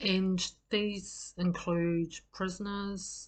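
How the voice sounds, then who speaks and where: With monotone, flat intonation, this woman delivers her words in a somewhat breathy voice. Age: 60s. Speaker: group facilitation trainer. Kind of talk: personal introduction talk. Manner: hesitant, many fillers.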